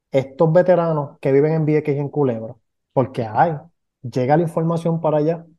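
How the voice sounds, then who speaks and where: Speaking very fast with fairly even intonation, a man with a Puerto Rican accent has a fairly high pitch and a dark, mellow tone. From Puerto Rico, Ponce. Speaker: veterans podcast co-host. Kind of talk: casual podcast conversation.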